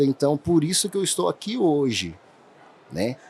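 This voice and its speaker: In a Minas Gerais accent, a man speaks at a moderate pace with lively intonation. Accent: mineiro. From Minas Gerais, Brazil (interior). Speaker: dentist, implant surgeon. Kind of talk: podcast interview.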